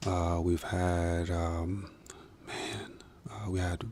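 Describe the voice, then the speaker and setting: A man with an American accent speaks very slowly in a very deep, low voice, his flat, monotone delivery broken by long, frequent pauses and carried by audible room echo. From Minnesota, US. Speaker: musician and filmmaker. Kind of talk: podcast interview. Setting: studio. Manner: hesitant, many fillers.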